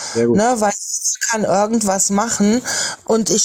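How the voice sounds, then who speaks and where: Recorded very cleanly against a silent background, a woman speaks at a medium pitch with a dark, mellow tone and fairly even intonation. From Lower Saxony, Germany. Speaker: livestream participant. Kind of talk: casual chat.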